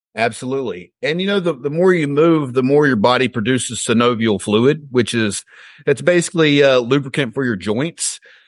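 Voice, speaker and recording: Medium male pitch at a moderate pace, against a quiet background. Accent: Southern US. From Alabama, US South. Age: 30s. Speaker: fitness coach and real estate agent. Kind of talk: interview.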